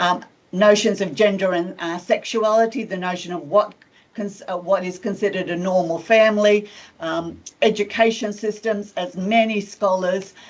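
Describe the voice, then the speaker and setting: A woman has a normal speaking voice at a medium pitch and moderate pace. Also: fairly even intonation. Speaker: professor of education. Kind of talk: lecture.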